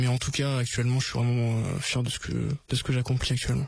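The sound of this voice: A man talks fast at medium pitch, with vocal fry and little pitch movement.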